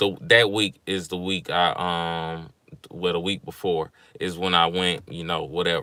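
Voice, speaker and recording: Speaking at a fairly slow pace, a man with a Mississippi accent has a bright, sharp tone. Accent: Mississippi Southern. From Mississippi, US South. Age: 20s. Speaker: vlogger. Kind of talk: livestream vent, casual talk. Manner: casual, rambling with fillers.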